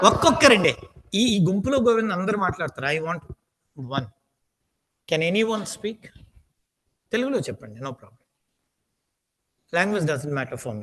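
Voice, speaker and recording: A man with a Telugu accent speaks at a high pitch with very wide pitch swings. His pace is moderate, broken by long, frequent pauses. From India, Andhra Pradesh (Srikakulam). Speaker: aptitude trainer. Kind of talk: lecture. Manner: repetitive, emphatic.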